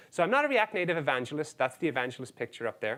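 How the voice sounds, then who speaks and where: On a very clean recording with a silent background, a man with a fairly high pitch speaks in an Irish accent. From Ireland. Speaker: software engineer, conference speaker. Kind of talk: conference talk.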